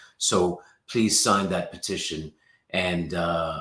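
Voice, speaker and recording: A man with a very deep, low voice and a slight British accent speaks very slowly in a bright, sharp tone with fairly even intonation. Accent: slight, well-traveled British. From England and the Middle East, born in Pakistan. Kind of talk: casual interview chat.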